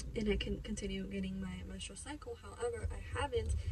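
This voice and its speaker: A woman's speech comes at a moderate tempo amid noticeable noise in the background. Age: 20s. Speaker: vlogger. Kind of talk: casual vlog talk to camera. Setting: vlogging on the go, partly in a car and parking lot. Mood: personal, candid health update.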